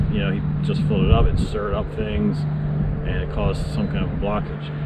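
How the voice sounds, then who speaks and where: A man speaks at a fairly quick pace through loud background noise. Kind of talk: casual vlog chat. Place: open country. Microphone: camera far.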